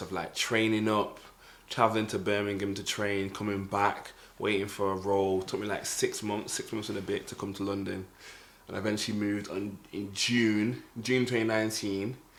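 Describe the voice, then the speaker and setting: A man with a Mancunian accent talks at a fairly quick pace and fairly low pitch in a monotone, flat intonation, with audible room echo. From northern England, Manchester. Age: 20s. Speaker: podcast co-host. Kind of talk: casual chat.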